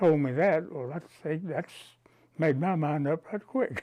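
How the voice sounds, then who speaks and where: A man with a West Texas accent speaks fairly slowly in a dark, mellow tone at a fairly high pitch. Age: 80s+. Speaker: banker. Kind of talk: interview answer.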